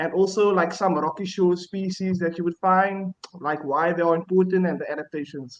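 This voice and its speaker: A man's high voice with fairly even intonation, at a moderate pace. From South Africa, Cape Town. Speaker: marine scientist. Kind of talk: self-introduction on live panel. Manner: halting.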